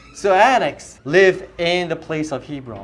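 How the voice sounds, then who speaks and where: A man's voice with audible room echo. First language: not English. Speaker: youth pastor. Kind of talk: sermon. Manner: animated.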